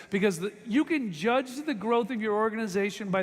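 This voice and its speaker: A man speaks loudly at a high pitch and a moderate pace. His tone is animated and his intonation lively. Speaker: motivational speaker at sales convention. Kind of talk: motivational speech. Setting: stage with audience.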